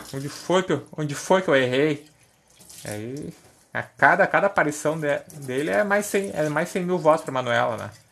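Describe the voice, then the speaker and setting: Over noticeable background noise, a fairly high-pitched man talks at a fairly quick pace with ordinary pitch variation. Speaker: podcaster. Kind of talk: casual monologue. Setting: at the kitchen sink washing dishes.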